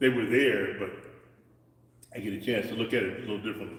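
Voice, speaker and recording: A man is speaking in a space with audible room echo. Noticeable background noise can be heard as well. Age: 60s. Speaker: martial arts instructor. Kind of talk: live-streamed martial arts lesson. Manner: halting, repetitive.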